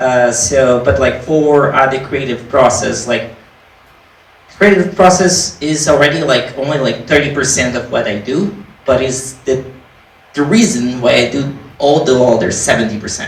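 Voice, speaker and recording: Over noticeable background noise and audible room echo, a man with a non-native accent speaks at a moderate pace, his medium pitch varying in an ordinary way. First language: not English. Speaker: indie game developer. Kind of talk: panel discussion. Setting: live panel event with audience.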